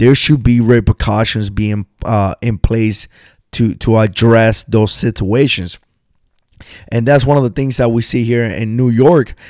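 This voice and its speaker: On a very clean recording with a silent background, a man speaks at a fairly slow pace in an ordinary speaking voice. His medium pitch holds fairly even intonation, and the sound is dry and close with no echo. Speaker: USMC veteran prepping and survival channel host. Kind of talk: radio show style talk to camera.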